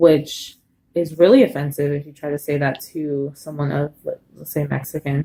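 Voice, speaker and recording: With a Spanish accent, a woman speaks in a very deep, low pitch and a dark, mellow tone, keeping fairly even intonation at a moderate pace amid big swings in loudness. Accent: Spanish sounds anglicized. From US, Colombian family. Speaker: interviewee. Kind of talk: casual interview.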